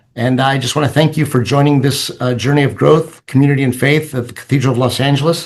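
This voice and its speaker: A man with a fairly high, somewhat breathy voice speaks at a very fast pace with monotone, flat intonation and hardly any pauses. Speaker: Orthodox priest. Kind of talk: presentation. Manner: hesitant, many fillers.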